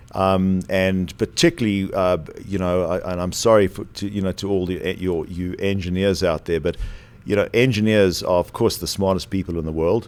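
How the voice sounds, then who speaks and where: This man has a very deep, low pitch and a South African accent. He speaks at a moderate pace with fairly even intonation. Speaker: former aerospace company executive. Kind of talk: podcast interview.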